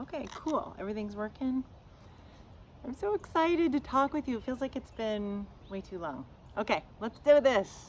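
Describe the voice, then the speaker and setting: A woman speaks loudly in a high, animated voice with very wide pitch swings. She takes long, frequent pauses. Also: moderate pace. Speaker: podcast host, shamanic teacher. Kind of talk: casual podcast monologue. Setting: outdoors, front yard.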